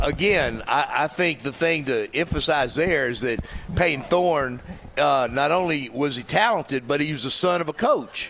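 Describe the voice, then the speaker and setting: The man's pitch shows ordinary variation, heard amid noticeable background noise. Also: fairly high pitch for a man, moderate pace. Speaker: former college quarterback turned radio co-host. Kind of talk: casual sports talk.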